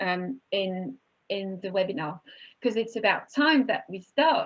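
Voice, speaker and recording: A woman with a French accent, lively intonation and a fairly slow pace. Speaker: webinar moderator, wine institute co-founder. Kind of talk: panel webinar moderation. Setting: online webinar.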